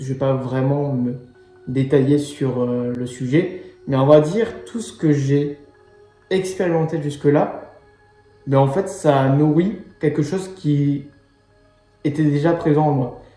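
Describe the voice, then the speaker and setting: Over music in the background and with audible room echo, a man with a fairly high pitch talks at a very slow pace with ordinary pitch variation and long, frequent pauses. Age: 20s. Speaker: life coach. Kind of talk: personal monologue to camera. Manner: hesitant, many fillers.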